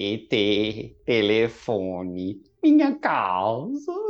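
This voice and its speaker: A put-on character voice, low in pitch, at a very slow pace. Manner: halting broken speech.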